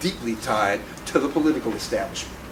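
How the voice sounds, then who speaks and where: Through noticeable background noise and audible room echo, a man speaks with an American accent. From Chicago, South Side. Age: 60s. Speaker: political activist and editor. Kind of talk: panel talk. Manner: animated.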